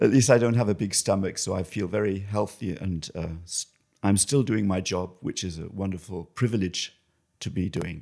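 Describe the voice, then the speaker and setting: A man speaks at a fairly low pitch. His tone is dark and mellow. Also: ordinary pitch variation, moderate pace. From England. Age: 60s. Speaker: photographer. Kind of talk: interview conversation. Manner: hesitant, searching for words.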